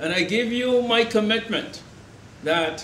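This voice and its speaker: With noticeable background noise and audible room echo, a man speaks fairly slowly in an extremely high voice. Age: 70s. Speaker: election candidate. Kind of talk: campaign speech. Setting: event with live audience. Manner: animated.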